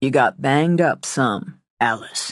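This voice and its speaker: A man's put-on character voice, raspy and medium in pitch, with lively intonation, a fairly slow pace and a dry, close sound with no echo. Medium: read story. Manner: calm, quiet.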